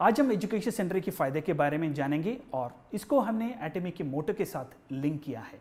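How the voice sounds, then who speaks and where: At a high pitch, a man talks with very wide pitch swings and hardly any pauses. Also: moderate pace. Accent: non-native. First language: Malayalam (speaking Hindi). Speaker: corporate training manager. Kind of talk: business presentation. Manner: formal.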